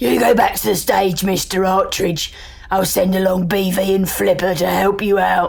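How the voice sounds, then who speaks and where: A woman puts on a raspy character voice at medium pitch, speaking at a moderate pace over light background noise. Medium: audio drama. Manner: dry, dismissive.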